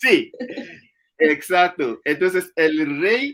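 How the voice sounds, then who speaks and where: The speaker has an Ivorian accent. The pitch varies in an ordinary way. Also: man. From Ivory Coast. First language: Anyi (speaking Spanish). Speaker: speaker on his home country's culture. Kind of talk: public talk interview. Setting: literature festival talk. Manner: halting, many fillers.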